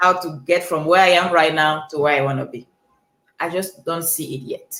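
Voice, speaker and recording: A woman talks with a Cameroonian accent. Her pitch is fairly low. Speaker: life coach. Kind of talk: motivational talk.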